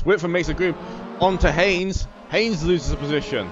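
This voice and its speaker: Noticeable background noise sits under the recording. A man speaks in a fairly high pitch. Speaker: sim racing commentator. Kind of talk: live commentary.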